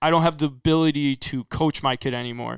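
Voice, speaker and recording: The speaker has a normal speaking voice with an American accent. The delivery comes at a moderate pace with fairly even intonation. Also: man. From US Midwest, northern Illinois. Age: 20s. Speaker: college baseball player. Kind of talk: casual chat.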